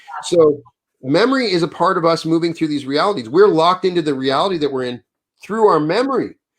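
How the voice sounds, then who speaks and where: A man's very fast, high-pitched speech with lively intonation and an American accent. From Wyoming, US. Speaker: author. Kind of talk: interview conversation.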